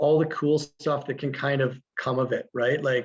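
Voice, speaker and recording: Somewhat breathy, a man with a fairly high pitch speaks in a monotone, flat intonation. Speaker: teacher running a school garden. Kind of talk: webinar presentation. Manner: fast.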